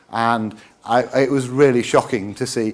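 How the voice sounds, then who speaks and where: A man speaks in a British accent. His pitch is medium. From England. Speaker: president of an accessible-books organisation. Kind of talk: conference talk. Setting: conference stage with audience. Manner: hesitant with many fillers.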